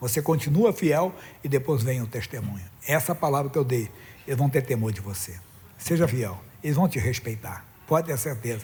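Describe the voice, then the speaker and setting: A man's somewhat breathy, medium-pitched voice at a moderate pace, with lively intonation and long, frequent pauses. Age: 60s. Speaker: pastor. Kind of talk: sermon.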